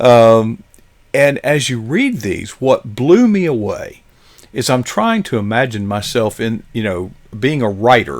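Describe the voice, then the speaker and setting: With an ordinary speaking voice, a man of medium pitch talks at a fairly slow pace using lively intonation. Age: 60s. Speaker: live stream show host. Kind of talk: interview. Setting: studio.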